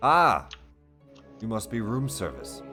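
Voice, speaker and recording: A man booms loudly in a put-on character voice, his fairly low pitch swinging very widely, with faint music in the background. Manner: grand, commanding.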